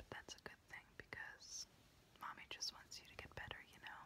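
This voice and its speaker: Someone is whispering at a fairly slow pace. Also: woman. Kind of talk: soft roleplay address to viewer. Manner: soft, hushed ASMR speech. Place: home room. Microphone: phone near.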